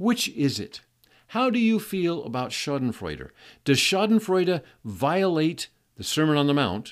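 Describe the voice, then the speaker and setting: A man speaks at a fairly slow pace in a fairly high voice, his pitch swinging very widely. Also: very clean recording, silent background. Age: 70s. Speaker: podcast host teaching Bible topics. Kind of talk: solo Bible teaching talk. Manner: halting, with fillers and repeated words.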